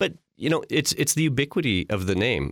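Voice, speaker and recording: In a Canadian Prairie accent, the speaker uses lively intonation on a very clean recording with a silent background and a dry, close sound with no echo. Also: man. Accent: Canadian English (Prairies). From Canada, Saskatchewan (Regina). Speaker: branding agency executive. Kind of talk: podcast interview.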